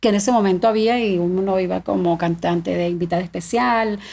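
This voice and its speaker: A woman speaks with an Andean Venezuelan accent. Her pitch varies in an ordinary way. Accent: Andean Venezuelan (gocho). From Venezuelan Andes, Mérida state (Tovar); Mérida state, Venezuela. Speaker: singer of llanera music; podcast guest. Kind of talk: casual interview. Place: studio. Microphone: studio mic.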